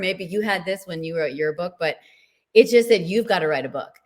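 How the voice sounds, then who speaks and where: A plain, everyday voice delivers its lines at a moderate pace, its pitch varying in an ordinary way. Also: woman. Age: 60s. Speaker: menopause health coach and author. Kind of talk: interview.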